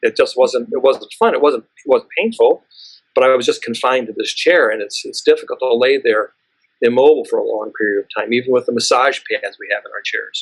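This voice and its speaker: Dry and close with no echo, the recording captures a man talking at a fairly quick pace. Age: 60s. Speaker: dentist. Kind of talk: interview. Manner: halting, many repeated words.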